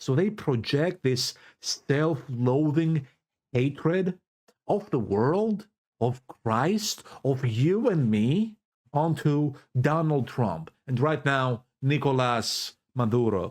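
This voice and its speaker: Speaking at a very slow pace with very even loudness, a man with a non-native accent has a fairly high pitch. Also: lively intonation. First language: Greek. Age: 20s. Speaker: YouTuber / political commentator. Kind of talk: casual vlog commentary. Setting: in his bedroom. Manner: animated.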